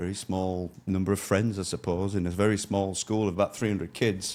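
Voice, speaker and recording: A man with a Yorkshire accent has a dark, mellow tone and fairly low pitch, with fairly even intonation on a very clean recording with a silent background. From northern England, near York. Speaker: former soldier turned logistics business owner. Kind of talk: interview. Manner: halting, with self-corrections.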